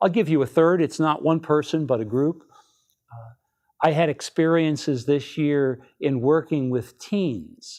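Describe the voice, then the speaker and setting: In a normal speaking voice, a man talks fairly slowly at a fairly high pitch with ordinary pitch variation. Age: 60s. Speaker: archbishop. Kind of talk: appeal message to the faithful. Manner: warm, conversational with frequent fillers.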